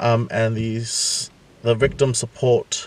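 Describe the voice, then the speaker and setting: A man talks at a very slow pace, his voice somewhat breathy. The sound is dry, with no echo. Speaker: vlogger. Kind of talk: casual vlog chat. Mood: serious, a bit worried. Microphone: phone near.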